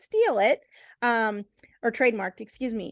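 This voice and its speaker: In a dry, close recording without echo and a quiet background, a woman with a fairly high voice speaks at a moderate pace. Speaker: real estate agent. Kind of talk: tutorial. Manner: loud.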